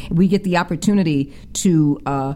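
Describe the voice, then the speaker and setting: A woman's very deep, low voice with ordinary pitch variation over noticeable background noise. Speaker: guest artist and spiritualist. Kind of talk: warm, earnest radio interview chat. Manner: effusive, gushing with gratitude, repeats words.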